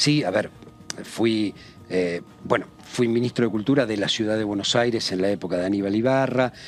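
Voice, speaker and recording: Over noticeable background noise, a man with a fairly low pitch speaks at a moderate pace with ordinary pitch variation. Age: 60s. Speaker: politician. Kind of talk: TV interview. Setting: TV studio.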